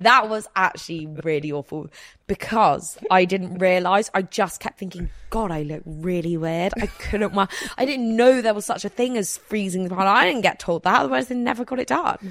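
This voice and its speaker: This woman has an ordinary speaking voice with a medium pitch. Her intonation is lively and her pace moderate. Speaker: podcast host. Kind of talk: casual chat.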